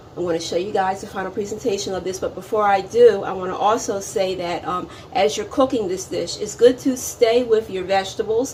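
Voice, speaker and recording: Noticeable background noise runs under a woman's medium-pitched voice. She keeps a fairly quick pace with hardly any pauses. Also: ordinary pitch variation. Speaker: cooking channel host. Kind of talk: cooking tutorial.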